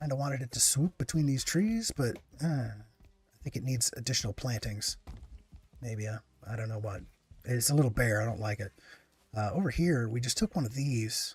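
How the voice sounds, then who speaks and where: Soft-spoken and somewhat breathy, a man speaks with ordinary pitch variation and long, frequent pauses in a very clean recording with a silent background. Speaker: gaming streamer. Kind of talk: live gameplay commentary. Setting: live stream. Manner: halting.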